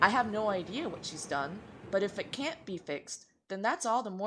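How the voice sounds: A natural reading voice, pitch varying in an ordinary manner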